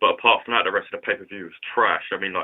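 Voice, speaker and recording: This is a man speaking. He has a London accent. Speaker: YouTube vlogger. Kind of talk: casual vlog commentary. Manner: casual, filler-heavy.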